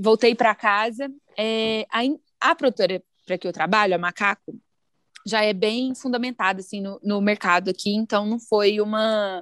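With an unremarkable speaking voice, a woman talks at a moderate pace and fairly high pitch, her intonation fairly even, in a dry, close sound with no echo. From Brazil, Araguari (Minas Gerais). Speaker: music marketing professional, former teacher. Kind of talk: podcast interview.

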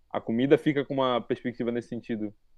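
A man is talking with fairly even intonation. Behind him, music can be heard. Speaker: cook, gastronomy graduate. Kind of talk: casual chat.

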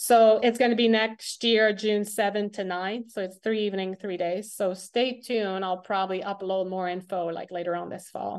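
Against a quiet background, a woman with a Quebec accent speaks at a medium pitch and a moderate pace. Her intonation is fairly even, and she barely pauses. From Quebec, Montreal. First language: French. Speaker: athlete and sports coach. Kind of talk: interview. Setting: call.

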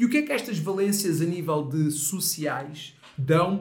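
Lively intonation with audible room echo. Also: man. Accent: European Portuguese. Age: 30s. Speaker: mental coach. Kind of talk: casual chat.

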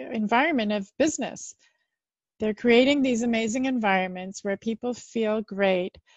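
A woman's fairly high-pitched voice, a plain, everyday voice. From Canada. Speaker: marketing consultant and founder. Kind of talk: casual interview conversation.

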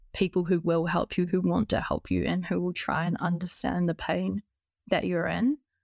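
A woman with a New Zealand accent, fairly low in pitch, at a moderate pace with vocal fry, in a dry, close sound with no echo and a quiet background. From New Zealand, Christchurch. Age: 20s. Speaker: biomedicine student. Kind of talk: podcast interview.

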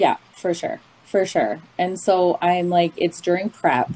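A woman with a Canadian accent speaks at a very slow pace. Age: 30s. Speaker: recovering binge eater sharing her story. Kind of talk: personal testimony in casual interview.

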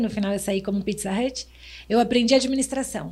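A somewhat breathy woman's voice with fairly even intonation. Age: 50s. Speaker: restaurant and HR manager, consultant. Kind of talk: casual chat.

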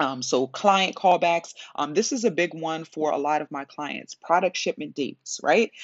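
A woman with an ordinary speaking voice talks at a moderate pace, her pitch fairly low with ordinary variation. She takes hardly any pauses, and her loudness swings widely. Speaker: business coach and podcast host. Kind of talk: solo podcast talk. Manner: casual with many filler words.

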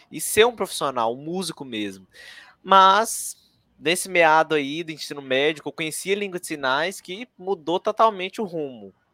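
With a dry, close sound and no echo, a man speaks in a high pitch with a bright, sharp tone. His moderate pace carries lively intonation and big swings in loudness. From Minas Gerais, Brazil (Ipatinga, Vale do Aço). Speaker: sign language interpreter and teacher. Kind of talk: casual interview chat.

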